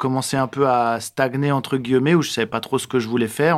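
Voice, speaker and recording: Recorded very cleanly against a silent background, a man with an ordinary speaking voice talks at a moderate pace, his medium pitch showing ordinary variation. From France, Alsace (Strasbourg). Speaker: actor and screenwriter. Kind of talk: casual interview. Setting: improvised studio in a neighbourhood.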